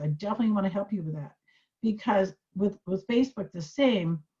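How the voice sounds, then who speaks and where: Somewhat breathy speech at a very fast pace with ordinary pitch variation. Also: woman. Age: 70s. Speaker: social media tutor. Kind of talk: tutorial. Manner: animated.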